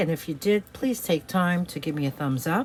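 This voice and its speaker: At a moderate pace, a woman with an American accent speaks in a plain, everyday voice at a fairly low pitch. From New York City. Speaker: online reseller. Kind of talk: product showcase video; channel outro. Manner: casual, chatty with fillers.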